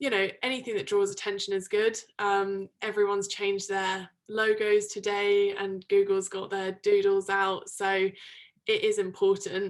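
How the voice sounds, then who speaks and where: With a British accent, a woman speaks at a moderate pace and medium pitch, keeping her intonation fairly even. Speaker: product manager in tech. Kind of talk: interview. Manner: loud; hesitant with frequent ums.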